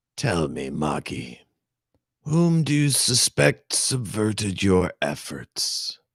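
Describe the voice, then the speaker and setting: Putting on a character voice, a man speaks at a fairly low pitch and a very slow pace with very wide pitch swings, in a dry, close sound with no echo. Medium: read story. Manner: measured, cold.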